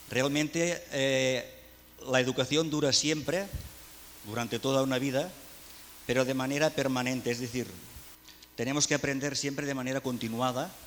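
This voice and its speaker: Speaking with a Catalan accent, a man keeps a medium pitch and fairly even intonation. He goes at a fairly quick pace over noticeable background noise. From Catalonia, Spain. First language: Catalan (speaking Spanish). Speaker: education speaker. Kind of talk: conference talk.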